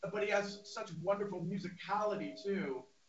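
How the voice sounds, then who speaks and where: A man speaks at a high pitch. Audible room echo and light background noise surround him. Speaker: drummer. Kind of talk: casual chat. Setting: video call. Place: home room.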